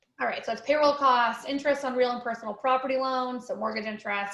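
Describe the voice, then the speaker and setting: Amid audible room echo, a woman with an American accent speaks at a high pitch with fairly even intonation. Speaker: accounting firm owner. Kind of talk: webinar presentation. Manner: fast.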